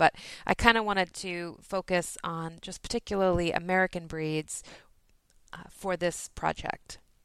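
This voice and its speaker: A woman with an ordinary speaking voice, fairly low pitch, fairly even intonation and a fairly slow pace, in a very clean, silent, dry and close recording with no echo. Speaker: podcaster and knitter. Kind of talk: recorded message segment.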